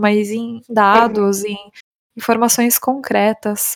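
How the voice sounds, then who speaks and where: At a fairly slow pace and fairly high pitch, a woman speaks in a plain, everyday voice with fairly even intonation. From Brazil, São Paulo. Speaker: English teacher and startup founder. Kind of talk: casual interview chat.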